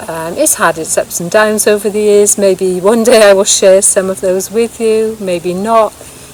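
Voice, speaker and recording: A woman's medium-pitched voice with a British accent, fairly even intonation, a moderate pace and hardly any pauses, over noticeable background noise. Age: 60s. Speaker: vlogger. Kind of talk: casual vlog monologue. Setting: outdoors in woods.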